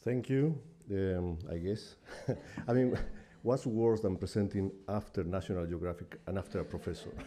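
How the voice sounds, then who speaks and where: With a non-native accent, a man speaks at a moderate pace in a fairly low pitch, with a dark, mellow tone and ordinary pitch variation. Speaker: UN technical advisor. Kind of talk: conference talk.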